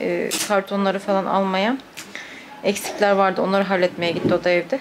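A woman keeps a moderate pace. Background noise is noticeable throughout. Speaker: vlogger. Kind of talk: casual vlog chat. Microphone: phone near.

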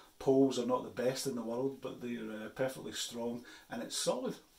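A man talks with audible room echo around his voice. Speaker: outdoor gear reviewer. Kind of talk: casual vlog chat. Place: office. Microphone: phone near.

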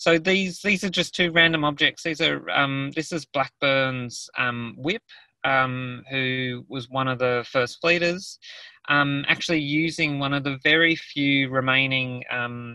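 A man in an Australian accent, fairly slow in pace, with a bright, sharp tone and ordinary pitch variation, in a dry sound with no echo and a quiet background. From Australia, New South Wales. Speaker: artist. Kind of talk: presentation in a webinar. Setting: video call from a car. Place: car. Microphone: video call.

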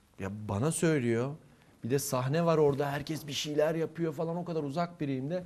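This man's voice sits fairly high in pitch. He keeps a moderate pace with ordinary pitch variation. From southeastern Turkey. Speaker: theatre instructor and actor. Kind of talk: casual interview.

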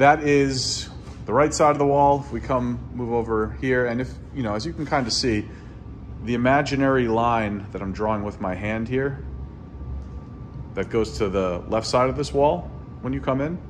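There is light background noise as a man speaks at a moderate pace. His intonation is lively, and he takes long, frequent pauses. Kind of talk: casual vlog chat. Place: empty room. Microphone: phone near.

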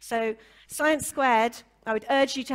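Over a quiet background, a woman with a Welsh accent talks at a moderate pace with ordinary pitch variation. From Wales. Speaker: session chair and science communicator; panel moderator. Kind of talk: panel moderation. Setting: conference stage with audience. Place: hall. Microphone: handheld.

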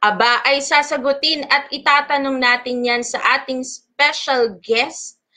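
Over a quiet background, a raised, projected voice moves at a fairly slow pace with fairly even intonation. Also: woman. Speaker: live show host. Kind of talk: show intro, hosting. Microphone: webcam.

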